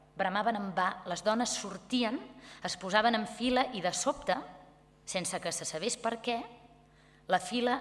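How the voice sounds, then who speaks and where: Noticeable background noise sits behind a woman speaking at a fairly high pitch. She goes at a fairly slow pace with ordinary pitch variation. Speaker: actress. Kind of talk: literary reading. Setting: live event.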